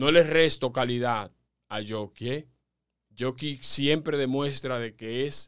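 A man talks fairly slowly. Behind him, the background is quiet. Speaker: sports commentator and podcast host. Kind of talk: sports commentary podcast talking to listeners. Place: studio. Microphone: studio mic.

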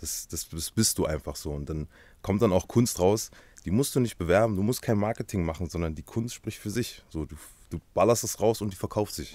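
A man with a fairly low pitch talks at a moderate pace, using lively intonation and big swings in loudness, in a dry sound with no echo. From Halle (Saale), Germany. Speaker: tattoo artist, YouTuber, musician. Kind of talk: casual interview chat. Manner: casual, slangy. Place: studio. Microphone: studio mic.

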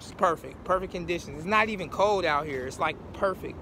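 A man's high-pitched voice, dry with no echo, over noticeable background noise. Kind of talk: casual vlog chat. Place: waterside. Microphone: phone near.

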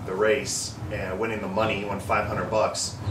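A man speaks over noticeable background noise. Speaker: car enthusiast vlogger. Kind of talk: casual vlog chat. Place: street. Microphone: camera far.

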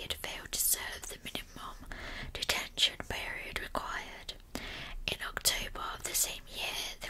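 A soft-spoken voice whispers at a fairly slow pace. Light background noise sits behind it. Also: woman. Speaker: true crime narrator. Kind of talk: true crime storytelling narration. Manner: soft, close ASMR whispered narration. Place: home room. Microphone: earbuds.

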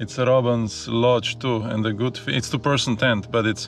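Faint music sits behind a man who speaks at a moderate pace in a monotone, flat intonation, the sound dry with no echo. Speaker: sailing vlogger. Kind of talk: casual vlog chat. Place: open country. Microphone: phone near.

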